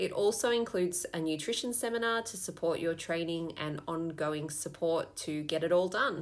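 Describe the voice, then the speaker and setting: A woman's fairly low voice with an Australian accent, ordinary pitch variation, a moderate pace and hardly any pauses. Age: 30s. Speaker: fitness coach. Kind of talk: promotional pitch.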